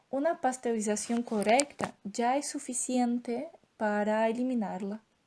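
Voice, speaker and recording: Speaking with a Brazilian accent, a woman has a high pitch and a dark, mellow tone. Her pace is fairly slow, and her pitch varies in an ordinary way. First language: Portuguese (speaking Spanish). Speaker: doctoral student in veterinary science. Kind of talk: lecture. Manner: hesitant, with filler sounds.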